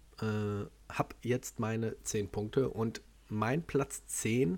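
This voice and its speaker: Medium pitch and ordinary pitch variation from a man, captured on a very clean recording with a silent background. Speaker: podcast host, martial arts trainer. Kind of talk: casual chat.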